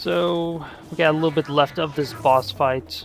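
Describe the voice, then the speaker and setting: Very slow speech with music in the background. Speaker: gaming video creator. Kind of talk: game tutorial commentary. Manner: casual with fillers.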